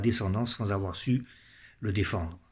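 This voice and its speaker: A man speaks at a fairly quick pace with ordinary pitch variation and a somewhat breathy sound. The background is quiet. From French Algeria. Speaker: political commentator. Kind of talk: personal monologue. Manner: solemn. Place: home room. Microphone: phone near.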